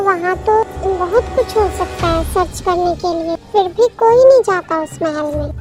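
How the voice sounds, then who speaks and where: A woman puts on a character voice at an extremely high pitch, speaking at a moderate pace. Music plays clearly in the background. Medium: fan dub. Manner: anxious, pleading.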